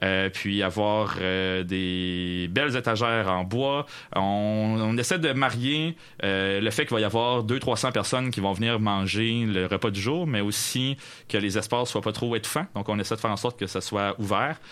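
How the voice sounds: A man speaks with a fairly low pitch. His tone is fairly bright. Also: ordinary pitch variation, moderate pace.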